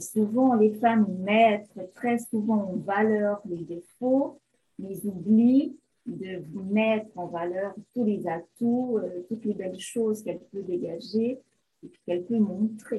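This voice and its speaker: Very slow and somewhat breathy, a woman speaks with a fairly high pitch, ordinary pitch variation and big swings in loudness. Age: 50s. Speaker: beautician, image consultant. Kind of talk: interview.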